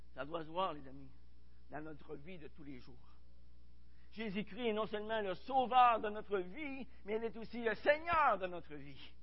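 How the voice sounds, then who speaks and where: A man's high-pitched voice at a fairly slow pace, with lively intonation, big swings in loudness and long, frequent pauses. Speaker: pastor. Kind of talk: sermon. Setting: church.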